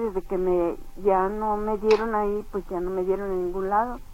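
Her intonation monotone and flat, a woman talks fairly slowly at a medium pitch. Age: 70s. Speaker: caller. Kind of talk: phone-in complaint.

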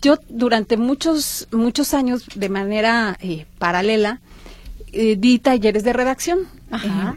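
A woman at a very slow pace, fairly high in pitch, with ordinary pitch variation. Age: 50s. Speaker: writing workshop teacher. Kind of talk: interview.

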